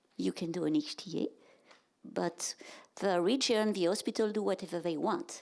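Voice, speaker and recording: A woman with a French accent at a medium pitch, lively intonation and a moderate pace, on a very clean recording with a silent background. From France. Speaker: health economics and reimbursement director. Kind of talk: conference presentation. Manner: halting.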